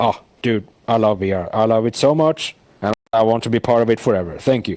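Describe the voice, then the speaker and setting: A man with a non-native accent, medium-pitched with ordinary variation, speaking at a fairly quick pace. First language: not English. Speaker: VR world creator. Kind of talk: casual interview. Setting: inside a VR world. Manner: speech deteriorating from long talk.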